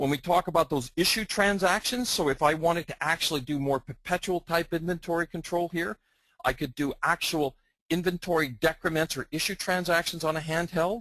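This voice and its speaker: With a strong Canadian accent, a man speaks fairly quickly in a high, bright, sharp voice with ordinary pitch variation, recorded dry and close with no echo. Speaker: software product presenter. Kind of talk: webinar presentation. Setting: online webinar.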